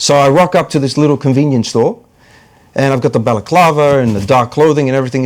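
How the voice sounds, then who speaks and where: The speech comes at a very fast pace. It carries an American accent. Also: man. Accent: New York accent with some Australian. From New York (Bronx), US. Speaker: comedian and actor. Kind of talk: casual interview chat.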